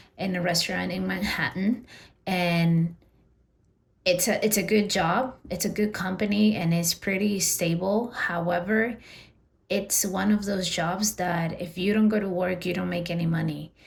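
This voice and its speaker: A woman with a Spanish accent speaks at a fairly slow pace, somewhat breathy. Her medium pitch carries fairly even intonation. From Peru. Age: 30s. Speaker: personal finance vlogger. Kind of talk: personal vlog monologue. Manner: casual, with fillers and repeats.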